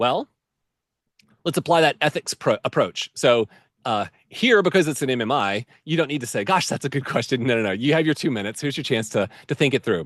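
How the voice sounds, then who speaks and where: With an ordinary speaking voice at a medium pitch, a man talks at a fairly quick pace with lively intonation, the sound dry and close with no echo over a quiet background. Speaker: med school admissions advisor. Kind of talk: webinar presentation. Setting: live video webinar.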